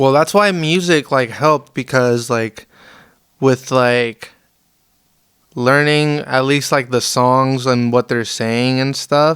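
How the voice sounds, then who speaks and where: A man in a Spanish accent, very slow, with very even loudness and fairly even intonation. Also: medium pitch for a man. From Las Vegas, US. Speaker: musician. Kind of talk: interview. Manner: casual, hesitant with many fillers.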